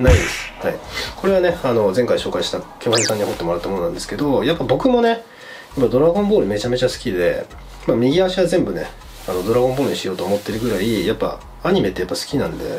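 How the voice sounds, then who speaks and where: A man talks at a very fast pace with very wide pitch swings. Light background noise is present. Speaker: tattoo enthusiast youtuber. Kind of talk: casual vlog chat. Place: home room.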